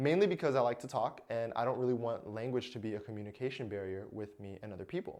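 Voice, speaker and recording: A man's voice with ordinary pitch variation, on a very clean recording against a silent background. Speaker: self-help vlogger. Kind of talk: casual vlog talk to camera. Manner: casual, hesitant with fillers.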